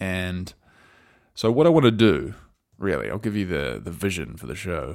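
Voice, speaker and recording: With an Australian accent, a man speaks in a very deep, low voice with vocal fry, in a very clean recording with a silent background. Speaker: podcast host. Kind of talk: solo commentary podcast. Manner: casual, rambling, conversational.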